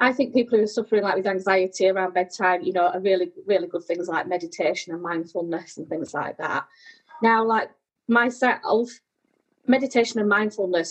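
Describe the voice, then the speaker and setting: A woman talks with a British accent at a fairly quick pace. Her voice is fairly high, with ordinary pitch variation. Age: 30s. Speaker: sleep charity executive. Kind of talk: casual interview chat.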